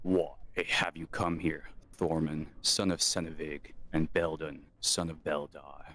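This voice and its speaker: In a put-on character voice, a man growls at a fairly slow pace with a very deep, low pitch. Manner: stern, demanding.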